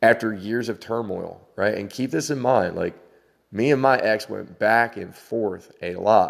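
Captured on a very clean recording with a silent background, a man with an unremarkable speaking voice talks at a fairly slow pace, with a medium pitch and ordinary pitch variation. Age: 40s. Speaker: spiritual podcaster. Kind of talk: spiritual monologue. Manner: meandering, conversational.

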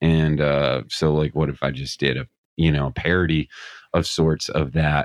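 In an American accent, the man speaks with a very deep, low pitch. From Scranton, Pennsylvania. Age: 40s. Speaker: music YouTube personality. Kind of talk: casual chat.

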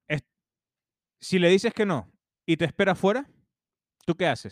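The speech moves at a moderate pace with lively intonation. The sound is dry and close, with no echo. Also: man. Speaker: podcast co-host. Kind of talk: casual chat, storytelling.

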